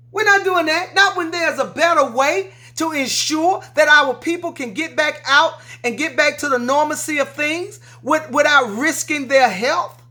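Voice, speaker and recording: A woman speaks in a raised, projected voice with a bright, sharp, animated tone and a high pitch. Her pace is moderate and her pitch variation ordinary. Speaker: political commentary vlogger. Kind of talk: emotional rant to viewers. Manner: loud.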